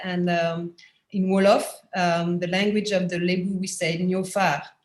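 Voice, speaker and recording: A woman's voice sits at a medium pitch and sounds somewhat breathy. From France. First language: French. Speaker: anthropologist and professor. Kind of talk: panel discussion. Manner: halting, many fillers; quiet.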